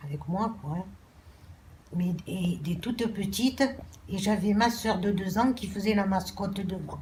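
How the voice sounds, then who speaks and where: A woman at a medium pitch talks at a very slow pace. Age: 60s. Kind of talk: personal testimony.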